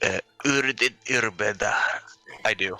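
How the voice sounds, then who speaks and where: A man's put-on character voice, medium in pitch, with a strong non-native accent as part of the act, at a fairly slow pace. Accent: thick, foreign. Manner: halting, hesitant.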